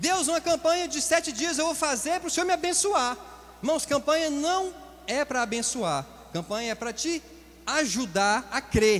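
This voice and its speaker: Against noticeable background noise, a man speaks at an extremely high pitch with lively intonation. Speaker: pastor. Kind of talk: sermon. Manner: fast.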